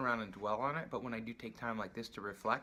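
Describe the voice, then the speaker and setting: Mumbling at a medium pitch, a man speaks in a bright, sharp tone. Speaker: patient sharing surgery recovery. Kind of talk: video diary.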